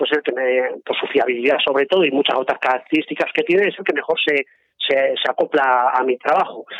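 A normal speaking voice from a man, fairly high in pitch, at a fairly quick pace with ordinary pitch variation. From Aragón, Spain (Zaragoza). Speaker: mountaineer and photographer. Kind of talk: interview.

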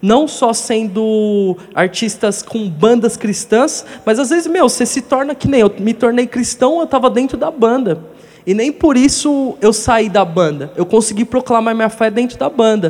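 Noticeable background noise surrounds a man with an extremely high voice. He speaks at a fairly slow pace with lively intonation. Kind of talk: testimony.

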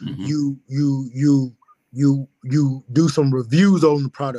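A man's fairly high-pitched voice in a dry, close sound with no echo. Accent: Alabama. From US South, rural west Alabama (Pickens County). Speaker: personal trainer and gym owner. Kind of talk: interview, life story. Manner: many fillers and repetitions.

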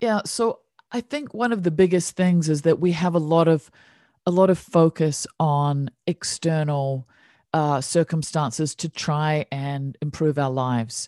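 Music plays in the background as a woman with a New Zealand accent speaks at a very deep, low pitch and a fairly slow pace, with ordinary pitch variation, the sound dry and close with no echo. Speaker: meditation teacher. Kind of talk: casual interview chat. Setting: video call.

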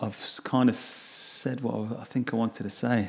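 Noticeable background noise sits behind this recording. A man speaks at a fairly slow pace with an English Midlands accent. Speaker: podcast host. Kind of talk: casual monologue. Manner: halting.

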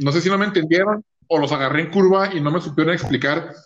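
The man's pitch is high, with ordinary variation. He talks at a fairly quick pace. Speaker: podcast co-host. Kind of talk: casual chat.

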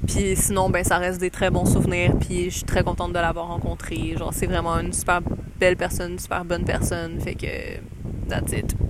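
At a moderate pace, a woman with a Quebec accent speaks amid audible room echo and noticeable background noise. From Quebec, Montreal. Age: 20s. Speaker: podcast host. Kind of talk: casual travel storytelling. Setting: outdoors in a park.

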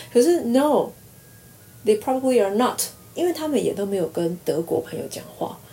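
Pitch swings very widely throughout this voice, which keeps a moderate tempo. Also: woman, high pitch for a woman. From Taiwan. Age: 40s. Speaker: university lecturer. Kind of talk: casual interview.

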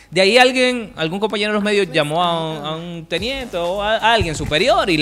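A man at a very fast pace over noticeable background noise. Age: 30s. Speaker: radio presenter. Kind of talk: casual chat.

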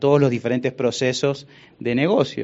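A man's unremarkable speaking voice at medium pitch and a fairly quick pace. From Argentina, Buenos Aires. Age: 40s. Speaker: business executive. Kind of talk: interview.

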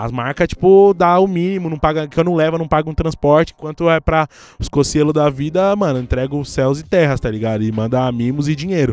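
Speaking at a fairly quick pace with hardly any pauses, a man has an unremarkable speaking voice, fairly high in pitch and with ordinary pitch variation. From Brazil, São Paulo periphery (Guarulhos). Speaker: journalist and content creator. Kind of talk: casual chat.

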